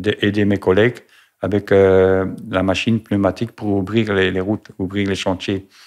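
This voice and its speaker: A man's fairly low, monotone, flat voice at a fairly slow pace, on a very clean recording with a silent background. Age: 60s. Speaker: retired truck driver, cancer patient. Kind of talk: testimony. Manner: halting, many hesitations.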